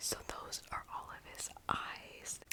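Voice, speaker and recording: The speech is whispered at a very slow pace. Noticeable background noise is present. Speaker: ASMR creator. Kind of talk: ASMR show-and-tell. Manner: whispering.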